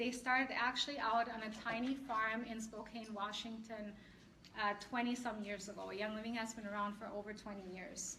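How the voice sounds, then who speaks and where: A woman with a fairly high pitch and a bright, sharp tone speaks fairly slowly with fairly even intonation, and audible room echo is present. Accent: slight German. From Germany. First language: German. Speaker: essential oils seller and class presenter. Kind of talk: product class presentation. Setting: live class with audience, streamed on Facebook.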